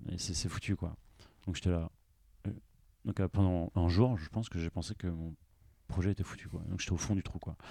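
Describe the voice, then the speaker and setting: The voice has a dark, mellow tone and fairly even intonation, moving at a moderate pace with long, frequent pauses. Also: man, very deep, low pitch for a man. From Brittany, Brest. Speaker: entrepreneur. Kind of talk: interview. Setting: inside a parked bus. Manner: hesitant, many fillers.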